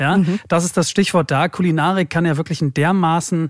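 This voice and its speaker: Dry and close with no echo, this clip has a man with a plain, everyday voice. He speaks at a fairly high pitch and a fairly quick pace. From Germany, Hamburg. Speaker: podcast host. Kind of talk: casual chat.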